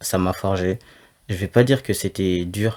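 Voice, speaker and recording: This man's voice is very deep and low, with fairly even intonation at a moderate pace. The recording is very clean, with a silent background. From France. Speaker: law student, guest. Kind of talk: interview.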